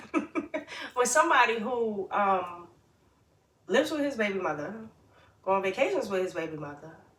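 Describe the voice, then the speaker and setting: A woman speaks loudly at medium pitch with very wide pitch swings. Noticeable background noise runs underneath. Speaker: podcast co-host. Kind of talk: casual chat. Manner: loud laugh.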